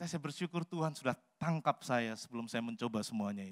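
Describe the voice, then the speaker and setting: A man's voice with ordinary pitch variation over a quiet background. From Central Java, Salatiga; Central Java, Indonesia. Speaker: pastor; pastor preaching. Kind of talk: sermon. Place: church. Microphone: handheld.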